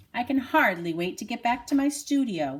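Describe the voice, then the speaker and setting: Putting on a character voice, a woman talks at a moderate speed in a high register, her pitch swinging very widely. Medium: read story.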